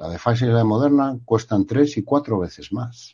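A dark, mellow tone with ordinary pitch variation comes through over a quiet background. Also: man. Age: 50s. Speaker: journalist and professor. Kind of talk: interview.

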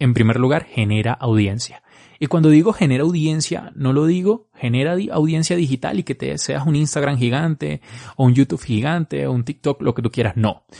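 Speaking at a moderate pace, a man with a dark, mellow tone and medium pitch shows ordinary pitch variation in a dry, close sound with no echo. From Venezuela. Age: 20s. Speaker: marketing podcaster. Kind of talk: solo podcast advice talk.

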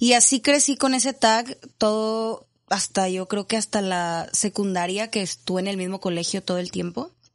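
An ordinary speaking voice with ordinary pitch variation. The pace is moderate and the background quiet. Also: woman. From Monterrey, Mexico. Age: 30s. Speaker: addiction counselor and coach. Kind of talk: interview testimony. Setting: studio.

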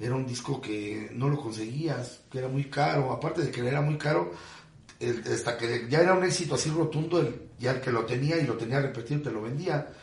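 Amid noticeable background noise and audible room echo, a man talks at a fairly quick pace and medium pitch with ordinary pitch variation. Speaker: sonidero announcer. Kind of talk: casual interview chat.

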